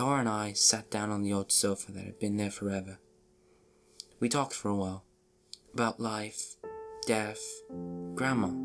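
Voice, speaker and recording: Over music in the background, a man with a fairly low pitch speaks in a monotone, flat intonation. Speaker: narrator. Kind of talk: horror story reading.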